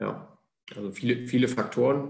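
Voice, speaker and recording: A somewhat breathy voice with ordinary pitch variation at a fairly slow pace. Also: man. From Thuringia, Jena (eastern Germany). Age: 30s. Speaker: goalkeeper coach. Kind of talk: podcast interview. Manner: hesitant, many filler sounds.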